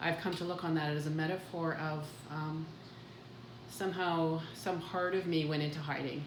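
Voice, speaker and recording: A woman with a Canadian Prairie accent, very deep, low pitch, fairly even intonation and a moderate pace, with noticeable background noise and audible room echo. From Canada, southern Manitoba. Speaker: podcast co-host. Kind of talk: casual conversation, personal life story.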